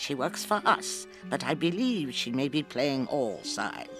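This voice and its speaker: A man performs a put-on character voice at a high pitch with very wide pitch swings and a moderate pace. Clear music plays in the background. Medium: audio drama. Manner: fussy, dithering.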